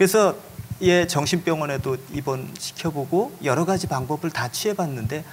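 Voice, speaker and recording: Lively intonation and a somewhat breathy sound carry this voice along at a moderate pace. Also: man. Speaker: pastor working with at-risk youth. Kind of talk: panel talk. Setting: stage with audience.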